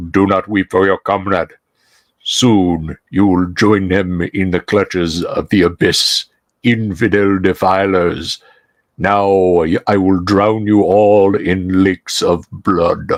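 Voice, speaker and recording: In a put-on character voice, a man speaks at a fairly slow pace, booming and resonant at a fairly low pitch. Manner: menacing, theatrical.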